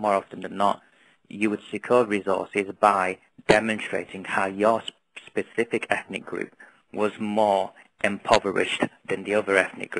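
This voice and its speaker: A man with a northern English accent talks fairly quickly at a fairly low pitch in a monotone, flat intonation. The tone is bright and sharp, with a dry, close sound and no echo. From northern England, Oldham. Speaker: NGO founder. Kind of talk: webinar presentation. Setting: webinar. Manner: fast.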